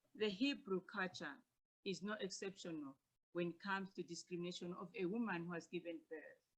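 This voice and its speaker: In a somewhat breathy voice, a woman speaks at a fairly quick pace. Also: medium pitch for a woman, ordinary pitch variation. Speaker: academic presenter. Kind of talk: paper presentation. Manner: soft-spoken.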